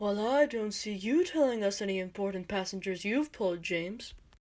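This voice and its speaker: A female-sounding, put-on character voice at a medium pitch moves at a fairly quick pace. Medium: audio drama.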